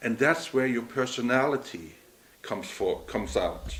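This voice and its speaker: Against noticeable background noise, a man with a slight Norwegian accent speaks at medium pitch and a moderate pace. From Norway. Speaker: entrepreneur. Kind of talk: interview. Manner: halting.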